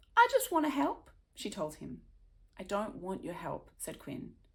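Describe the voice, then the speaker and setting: This is a woman's voice. It carries vocal fry. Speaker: children's author. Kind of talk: reading aloud; casual introduction.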